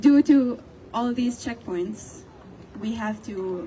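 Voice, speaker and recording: Over noticeable background noise, a woman speaks very slowly at a high pitch with lively intonation. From Palestine (West Bank, Jericho). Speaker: student. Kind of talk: protest speech to a crowd. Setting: outdoors.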